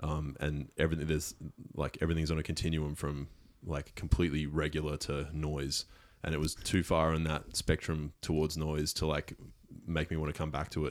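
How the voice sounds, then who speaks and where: This man talks at a fairly quick pace with an Australian accent, his very deep, low pitch held in a monotone, flat intonation. The recording is very clean, with a silent background. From Brisbane, Australia. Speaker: music producer. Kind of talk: casual chat. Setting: studio.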